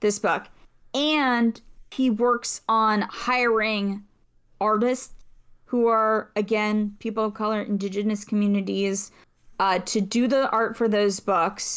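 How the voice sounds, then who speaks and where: In a very clean recording with a silent background, a woman speaks very slowly at a fairly high pitch, her intonation fairly even and her loudness very even. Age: 30s. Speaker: podcast voice actor and writer. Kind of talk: casual chat.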